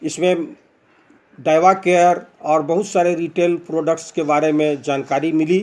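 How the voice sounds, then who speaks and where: A man talks at a high pitch. His intonation is monotone and flat. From Bihar, India (Bhagalpur). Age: 60s. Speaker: retired bank manager, product user. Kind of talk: testimony. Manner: halting, many fillers.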